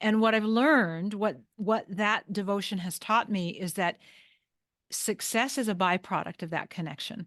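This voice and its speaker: Over a quiet background, a woman talks at a moderate pace with a medium pitch and ordinary pitch variation. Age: 60s. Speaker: holistic health coach. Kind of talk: interview. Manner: halting.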